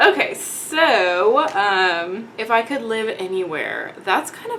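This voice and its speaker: A woman with a slight Texan accent uses lively intonation over noticeable background noise. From Texas, Dallas-Fort Worth. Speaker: beauty vlogger. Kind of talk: casual chat. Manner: casual, many fillers.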